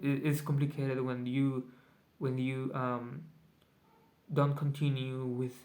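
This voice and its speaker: With a Spanish accent, a man talks at a very slow pace in monotone, flat intonation, leaving long, frequent pauses. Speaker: vlogger. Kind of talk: casual video journal. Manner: halting, many fillers.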